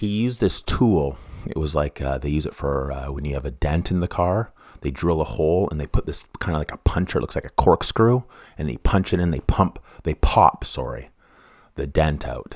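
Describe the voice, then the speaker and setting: The speaker, in a Western Canadian accent, uses lively intonation and vocal fry at a moderate pace. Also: man, very deep, low pitch for a man. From Canada, East Vancouver. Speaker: true crime podcaster. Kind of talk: casual monologue. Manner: halting, many restarts.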